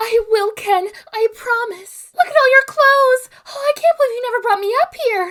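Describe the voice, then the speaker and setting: A put-on character voice with a bubbly tone. It moves at a moderate pace. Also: female-sounding voice, extremely high pitch for a woman. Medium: solo performance. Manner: bubbly, breathy enthusiasm.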